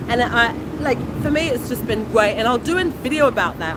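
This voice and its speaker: Over noticeable background noise, a woman with a British accent speaks at a moderate pace with lively intonation. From England. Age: 40s. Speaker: food vlogger. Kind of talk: livestream chat.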